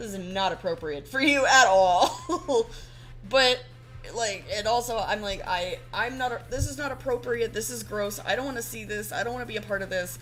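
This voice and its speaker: Over music in the background, a woman speaks at a moderate pace with big swings in loudness. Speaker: artist livestreamer. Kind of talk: casual chat. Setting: livestream. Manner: halting.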